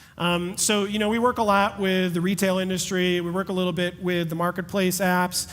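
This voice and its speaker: A fairly quick pace, an energetic tone and hardly any pauses. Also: man, high pitch for a man. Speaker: tech company founder. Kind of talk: conference talk Q&A. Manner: fast.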